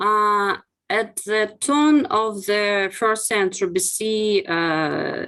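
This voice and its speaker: A woman with a Russian accent speaks with lively intonation against a quiet background. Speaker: archaeologist. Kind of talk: academic webinar presentation. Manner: halting, many fillers.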